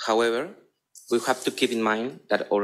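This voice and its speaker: A man at a medium pitch with a Spanish accent. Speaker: psychotherapist. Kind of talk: conference talk. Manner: halting.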